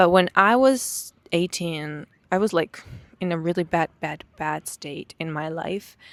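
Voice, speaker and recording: Her fairly low pitch varies in an ordinary way as a woman speaks fairly slowly in a dry, close sound with no echo. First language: Hebrew. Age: 20s. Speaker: vlogger. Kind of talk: personal testimony. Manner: halting.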